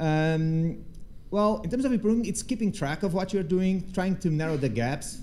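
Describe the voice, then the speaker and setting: Heard with audible room echo, a man with a dark, mellow tone talks at a fairly quick pace with lively intonation. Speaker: threat researcher. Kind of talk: conference talk with Q&A. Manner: fast; halting, many false starts.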